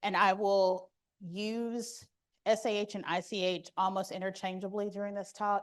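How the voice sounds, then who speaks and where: Speech comes at a moderate pace with monotone, flat intonation. The background is quiet. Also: woman, medium pitch for a woman. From Arkansas. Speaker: medical conference speaker. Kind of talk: lecture.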